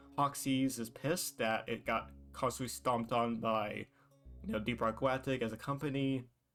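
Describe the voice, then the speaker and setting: Over background music, a man speaks at a moderate pace and medium pitch with lively intonation. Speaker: gaming content creator. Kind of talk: casual video game commentary.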